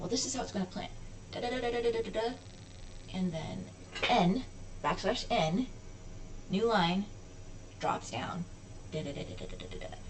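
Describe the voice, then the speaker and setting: Audible room echo around a woman speaking at a moderate pace. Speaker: hobbyist programmer. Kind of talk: coding tutorial walkthrough. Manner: casual, self-correcting.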